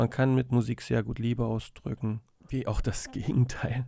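Speaking in a dark, mellow tone, a man keeps a monotone, flat intonation. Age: 30s. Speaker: podcast host and musician. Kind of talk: casual monologue. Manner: hesitant, many fillers. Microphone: studio dynamic mic.

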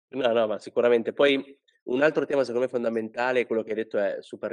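A man speaks at a fairly quick pace with fairly even intonation and a plain, everyday voice, recorded with a dry, close sound and no echo. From Italy, Liguria (Sanremo). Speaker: podcast host, headhunter. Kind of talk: casual interview.

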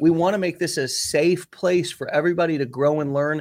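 Here a man speaks at a moderate pace. His voice is fairly high. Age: 30s. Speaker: podcast host, business coach. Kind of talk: interview, casual chat. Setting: remote call. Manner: animated.

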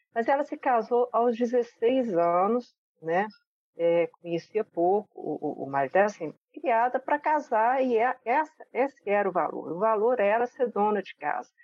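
Her pitch is fairly high with very wide swings as this woman speaks at a fairly slow pace. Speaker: guest, aunt of the co-host. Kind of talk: casual chat.

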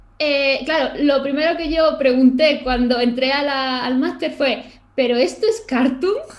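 A woman with a high voice speaks at a fairly slow pace and with ordinary pitch variation, with audible room echo around her. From Málaga, Andalusia, Spain. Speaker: illustrator and YouTuber. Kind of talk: casual interview chat.

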